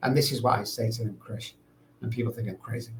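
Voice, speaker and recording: Speaking with a Mancunian accent, a man talks at a very fast pace. His medium-pitched voice is somewhat breathy. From England, Manchester. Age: 60s. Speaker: addiction recovery expert. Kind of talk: podcast interview.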